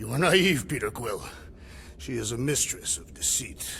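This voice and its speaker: A man puts on a raspy character voice at a medium pitch, with very wide pitch swings and big swings in loudness. He keeps a moderate pace over clear background noise. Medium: video game. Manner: formal, literal, uses full names.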